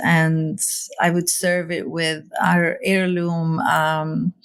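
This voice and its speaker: With an Arabic accent, a woman speaks at a very slow pace in monotone, flat intonation. Noticeable background noise and audible room echo are present. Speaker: seed library founder. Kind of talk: interview conversation. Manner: hesitant, many fillers.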